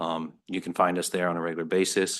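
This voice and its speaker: Over a quiet background, a man talks very fast in a very deep, low pitch with monotone, flat intonation. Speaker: student and army veteran. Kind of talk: testimony. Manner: halting, many fillers.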